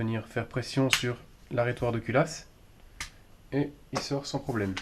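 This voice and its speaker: Using fairly even intonation, a man speaks at a medium pitch and a fairly slow pace. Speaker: airsoft replica customizer. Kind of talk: improvised tutorial talk to camera.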